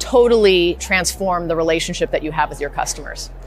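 A woman's voice, dry with no echo, over music in the background. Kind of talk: interview answer. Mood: confident, promotional. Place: hall. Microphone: lapel.

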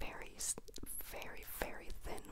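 Loud noise fills the background as a woman talks fairly slowly. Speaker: vlogger. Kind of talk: casual vlog chat. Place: home room. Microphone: handheld.

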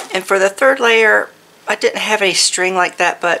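A woman speaks over noticeable background noise. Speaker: crafting YouTuber. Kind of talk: casual unboxing and craft tutorial. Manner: animated, excited exclamations.

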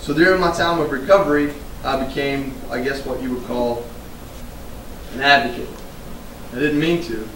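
With audible room echo and light background noise, a man with an American accent speaks at a fairly high pitch and moderate pace, with ordinary pitch variation and long, frequent pauses. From United States. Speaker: retired Marine and veterans advocate, public speaker. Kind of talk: live keynote speech to an audience. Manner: casual, conversational, humorous. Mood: earnest, reflective. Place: hall. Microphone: podium.

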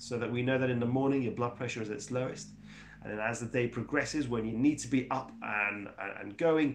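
Vocal fry runs through this fairly quick delivery with ordinary pitch variation. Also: man. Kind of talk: lecture. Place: home room. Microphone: lapel.

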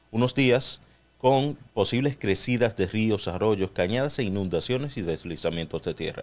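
A man speaks in an unremarkable speaking voice. His intonation is lively and his pace fairly slow. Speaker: radio co-host. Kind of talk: radio talk show discussion. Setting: radio studio.

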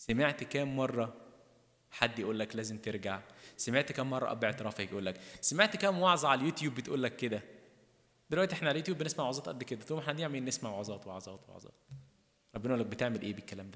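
A man's medium-pitched voice, very fast and bright, sharp in tone, with lively intonation, big swings in loudness and a quiet background. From Egypt. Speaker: priest. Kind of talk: sermon. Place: church. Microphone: podium.

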